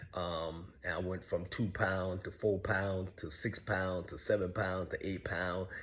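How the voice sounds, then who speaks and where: A man's very deep, low voice in a flat monotone, at a fairly slow pace with hardly any pauses. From US South, Savannah, Georgia. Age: 60s. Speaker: online show host telling his life story. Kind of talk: personal monologue. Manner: halting with frequent fillers.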